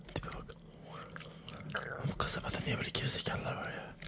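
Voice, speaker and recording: A whisper moving at a fairly quick pace. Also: man. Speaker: gamer. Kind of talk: casual gaming commentary. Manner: whispered, ASMR-style. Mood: joking, mildly exasperated.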